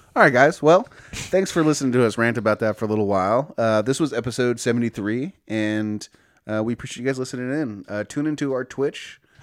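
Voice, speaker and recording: With an American accent, the speaker moves at a fairly quick pace with ordinary pitch variation in a very clean recording over a silent background. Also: man, medium pitch for a man. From California, Bay Area. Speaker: podcast co-host. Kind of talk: casual chat.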